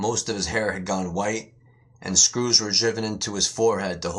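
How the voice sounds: Intonation here is fairly even. The reading voice sounds natural.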